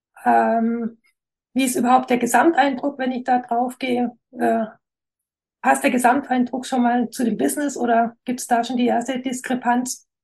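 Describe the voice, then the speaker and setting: A woman's high voice in a slight Swabian accent, monotone and flat in intonation. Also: moderate pace. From Swabia, near Stuttgart (Esslingen area). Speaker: graphic designer. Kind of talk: interview.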